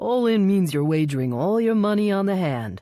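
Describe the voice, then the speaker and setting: With lively intonation and very even loudness, a man performs a high-pitched, put-on character voice at a moderate pace. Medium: read story. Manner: patronizing.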